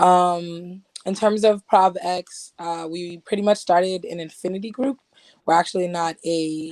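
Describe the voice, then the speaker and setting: A woman with a fairly low pitch talks at a fairly slow pace in an ordinary speaking voice. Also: big swings in loudness. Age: 20s. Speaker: activist. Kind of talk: interview answers.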